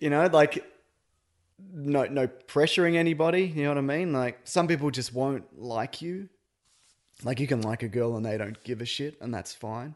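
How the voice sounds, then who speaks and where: A normal speaking voice from a man, fairly high in pitch, with ordinary pitch variation, a moderate pace and a quiet background. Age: 30s. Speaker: podcaster, dad.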